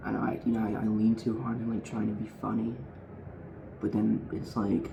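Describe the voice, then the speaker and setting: Soft-spoken, a man talks at a moderate pace with a fairly low pitch and fairly even intonation. Noticeable background noise and audible room echo are present. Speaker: streamer. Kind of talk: casual chat. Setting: home, quiet because of thin walls.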